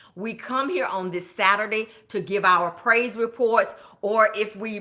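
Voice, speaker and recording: Animated in tone, a woman speaks at a medium pitch with a Southern US accent. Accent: Southern, country. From US South (Augusta, Georgia). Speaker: budget coach, nurse. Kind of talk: live stream chat. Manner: loud.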